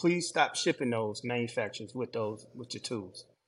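This man, with a Southern US accent, talks at a medium pitch. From Georgia, US South. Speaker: landscaper. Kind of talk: casual chat.

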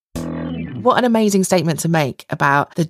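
A woman with a British accent speaks at a moderate pace with a very deep, low pitch and vocal fry. The sound is dry and close, with no echo. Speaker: podcast co-host. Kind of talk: casual interview.

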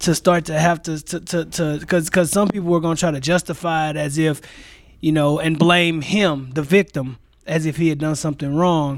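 In an American accent, a man with a plain, everyday voice speaks at a moderate pace and fairly high pitch, with fairly even intonation. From St. Louis, Missouri. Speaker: physical education teacher. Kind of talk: casual discussion.

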